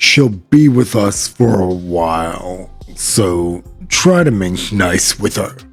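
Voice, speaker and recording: In a put-on character voice, a man talks at a very slow pace and a fairly low pitch while faint music plays in the background. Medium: read story. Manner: gruff, blunt.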